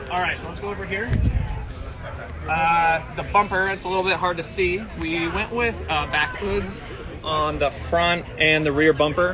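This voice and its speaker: A high-pitched man at a moderate pace with fairly even intonation, amid audible room echo and noticeable background noise. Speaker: van builder giving a tour. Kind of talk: live walkthrough tour. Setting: outdoors at an expo, live stream.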